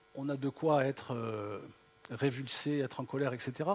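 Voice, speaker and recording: In a slight southern French accent, a man speaks at a medium pitch and a fairly slow pace with ordinary pitch variation. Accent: slight southern French (Midi). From southern France. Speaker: tech company founder, keynote speaker. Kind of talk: keynote speech. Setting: auditorium with audience. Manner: hesitant, many fillers.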